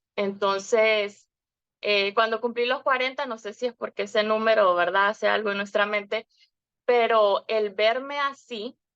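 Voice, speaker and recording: Recorded dry and close with no echo, a woman speaks at a fairly high pitch with fairly even intonation. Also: fairly slow pace. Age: 40s. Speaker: wellness program client. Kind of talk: testimony. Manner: halting, many filler words.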